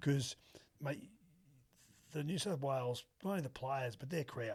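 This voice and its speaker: A man with a strong Australian accent speaks at a moderate pace and a fairly high pitch. His voice is somewhat breathy, with ordinary pitch variation. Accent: broad Australian. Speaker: former rugby league player. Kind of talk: casual interview chat. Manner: animated.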